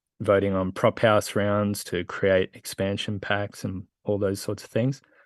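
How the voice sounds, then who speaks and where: Here a man talks with an Australian accent. His intonation is monotone and flat. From rural Australia. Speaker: skateboarder and crypto founder. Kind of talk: casual interview chat. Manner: halting, many fillers.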